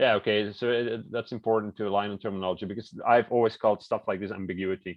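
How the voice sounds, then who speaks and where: A man's fairly low voice with a non-native accent, monotone and flat, at a very fast pace with hardly any pauses. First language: not English. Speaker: meeting participant. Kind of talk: casual chat.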